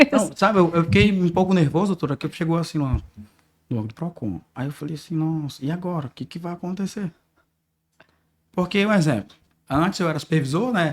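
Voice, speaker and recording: Talking at a fairly quick pace with lively intonation, a man with a high pitch leaves long, frequent pauses. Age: 20s. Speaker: consortium business owner. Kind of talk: podcast interview.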